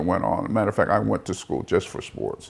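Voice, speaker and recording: A man speaks with vocal fry. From Peoria, Arizona. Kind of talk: oral history interview answer. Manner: hesitant, conversational.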